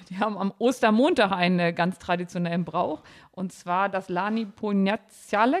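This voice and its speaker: A woman talks in a plain, everyday voice at medium pitch. Her pace is moderate and her pitch variation ordinary. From Harz, Germany. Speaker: podcast guest. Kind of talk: casual chat.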